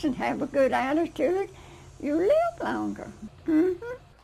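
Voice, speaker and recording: A woman speaks in an American accent with noticeable background noise behind her. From US South. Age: 80s+. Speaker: interviewee, centenarian. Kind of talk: interview answers. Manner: cheerful.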